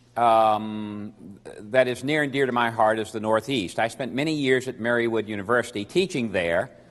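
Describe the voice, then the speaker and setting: This is a man with an American accent. He speaks at a moderate pace. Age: 60s. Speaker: lawyer and professor. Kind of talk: seminar talk. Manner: hesitant fillers.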